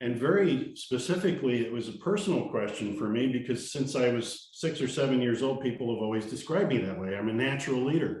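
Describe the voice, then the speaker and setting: A man speaks at a very fast pace with hardly any pauses, his pitch medium. The room echo is audible and background noise is noticeable. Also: lively intonation. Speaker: leadership trainer. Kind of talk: talking-head monologue. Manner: confident, energetic.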